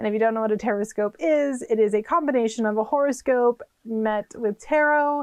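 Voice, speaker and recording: A woman with a Californian accent speaks at a fairly high pitch and a moderate pace, with ordinary pitch variation. The sound is dry and close with no echo, over a quiet background. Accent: Californian, noticeable. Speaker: witchcraft and tarot YouTuber. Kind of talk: casual channel introduction vlog. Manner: chatty, many fillers.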